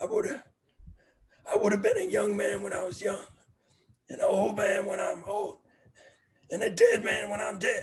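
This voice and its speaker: A man puts on a raspy character voice. He speaks at a moderate pace with long, frequent pauses. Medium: stage play. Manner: gruff, dismissive.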